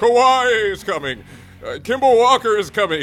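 A moderate pace carries the delivery. It is a put-on character voice. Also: man, high pitch for a man. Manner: spooky, eerie.

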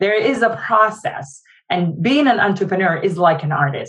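A woman talks at a moderate pace and medium pitch. Her voice is somewhat breathy, with lively intonation. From Jordan. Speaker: nonprofit founder. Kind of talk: interview.

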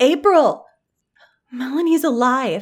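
A woman performs a put-on character voice, high in pitch with lively intonation. Her pace is slow.

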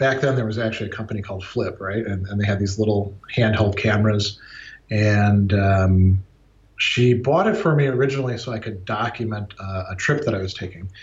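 Pitch variation in this voice is ordinary. It has a somewhat breathy quality. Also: man. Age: 40s. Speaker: philosophy professor. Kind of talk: interview. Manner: halting, many repeated words.

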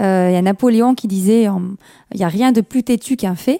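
Dark, mellow tone with ordinary pitch variation, in a dry, close sound with no echo. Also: woman. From France, Kabyle family. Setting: radio studio.

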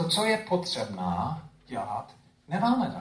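Amid audible room echo, a man's high voice makes very wide pitch swings. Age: old. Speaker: pastor. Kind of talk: sermon. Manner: halting.

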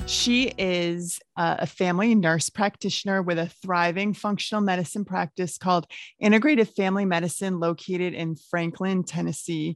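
With hardly any pauses, a woman talks at a medium pitch and a moderate pace in an unremarkable speaking voice with ordinary pitch variation over a quiet background. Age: 50s. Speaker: podcast host, health coach. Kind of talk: podcast interview.

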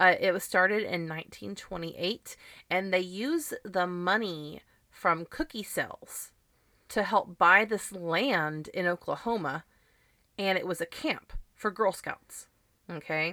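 In a very clean recording with a silent background, a woman speaks loudly and fairly slowly, her tone bright and sharp, her pitch medium with ordinary variation. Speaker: podcast host. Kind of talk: casual chat.

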